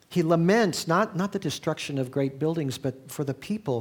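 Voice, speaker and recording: A man with a plain, everyday voice speaks at a fairly high pitch with ordinary pitch variation. The recording is very clean and the background silent. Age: 60s. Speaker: pastor. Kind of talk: sermon. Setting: church.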